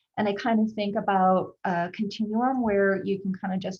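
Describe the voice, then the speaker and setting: A somewhat breathy woman's voice at medium pitch, with fairly even intonation and a moderate pace. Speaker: psychiatry research faculty. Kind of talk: presentation on video call.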